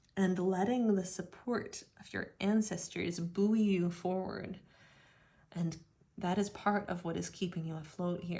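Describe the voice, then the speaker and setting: The voice is somewhat breathy, with monotone, flat intonation at a moderate pace. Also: woman. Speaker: tarot reader. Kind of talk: tarot reading monologue.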